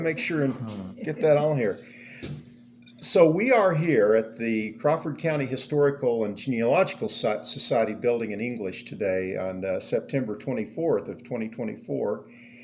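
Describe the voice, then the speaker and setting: Here is a man with an ordinary speaking voice at a medium pitch. His intonation is lively and his pace is moderate. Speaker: historical society interviewer. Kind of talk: interview questions.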